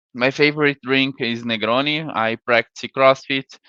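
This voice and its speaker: A man with a Brazilian accent talks at a moderate pace. His medium-pitched voice keeps fairly even intonation. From Brazil, Santa Catarina. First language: Portuguese. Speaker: sales engineer. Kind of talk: conference talk. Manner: halting.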